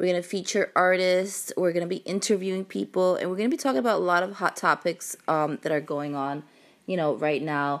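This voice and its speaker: On a very clean recording with a silent background, a woman with a Brooklyn accent talks at a fairly quick pace and fairly low pitch, with ordinary pitch variation. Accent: Brooklyn New York. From Brooklyn, New York City. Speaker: music artist representative and podcast host. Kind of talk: casual podcast intro, informal address. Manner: casual, chatty, filler words.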